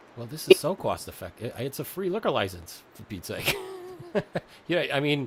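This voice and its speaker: Speaking with a New York accent in a fairly high pitch, a man moves at a fairly quick pace with very wide pitch swings, big swings in loudness and long, frequent pauses over noticeable background noise. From Staten Island, New York. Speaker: podcast host. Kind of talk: interview.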